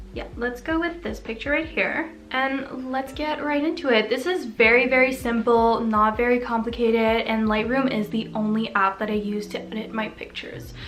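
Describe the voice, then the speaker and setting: A woman with a fairly high pitch and ordinary pitch variation talks at a moderate pace with hardly any pauses, over noticeable background noise. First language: French. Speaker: lifestyle vlogger. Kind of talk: tutorial. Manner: casual, chatty.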